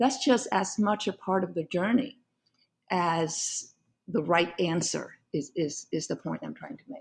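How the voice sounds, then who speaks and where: Somewhat breathy and medium in pitch, a woman with a Vietnamese accent speaks at a fairly slow pace with lively intonation. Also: big swings in loudness. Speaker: law professor and author. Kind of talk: podcast interview.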